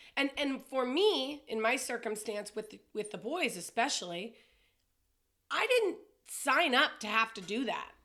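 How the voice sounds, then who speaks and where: Loud and high-pitched, a woman delivers her words at a fairly slow pace with lively intonation and a bright, sharp tone. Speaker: podcast co-host. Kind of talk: casual chat.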